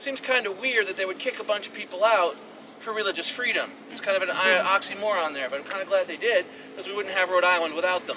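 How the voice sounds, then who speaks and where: A man speaks very fast in a high, raised and projected voice with ordinary pitch variation over noticeable background noise. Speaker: tour guide. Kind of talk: guided tour talk. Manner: loud; animated.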